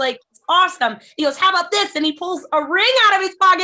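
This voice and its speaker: A woman speaks in a raised, projected voice at an extremely high pitch. Her tone is bright and sharp, with lively intonation. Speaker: eating disorder nonprofit founder and jiu-jitsu athlete. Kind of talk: podcast conversation.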